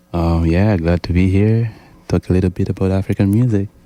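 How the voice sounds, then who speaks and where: Very deep and low in pitch, a man speaks with a dark, mellow tone and fairly even intonation. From Tanzania. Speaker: musician, drummer. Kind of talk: radio interview.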